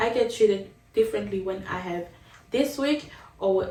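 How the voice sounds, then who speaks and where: A woman with a non-native accent speaks fairly slowly at a medium pitch with ordinary pitch variation, over noticeable background noise and audible room echo. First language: not English. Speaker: vlogger. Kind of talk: casual vlog monologue. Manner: conversational, with fillers and restarts.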